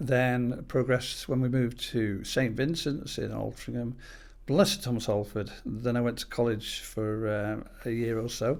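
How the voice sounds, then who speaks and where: A man with a Manchester accent speaks at a moderate pace. His pitch is medium, with ordinary variation. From northern England, Greater Manchester. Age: 60s. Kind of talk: podcast interview. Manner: hesitant, many fillers.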